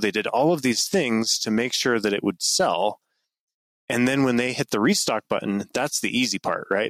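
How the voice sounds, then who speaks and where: Recorded very cleanly with a silent background and a dry, close sound without echo, a man speaks in a normal speaking voice with an American accent. His pitch is medium, his pitch variation ordinary, and his pace moderate. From northern Utah. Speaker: knife company founder. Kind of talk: casual interview.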